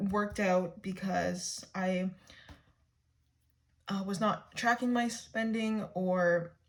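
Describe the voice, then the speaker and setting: This woman speaks at a very slow pace, her voice somewhat breathy. Her pitch is medium, with ordinary pitch variation. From Canada. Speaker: budgeting vlogger. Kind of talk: tutorial. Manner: halting.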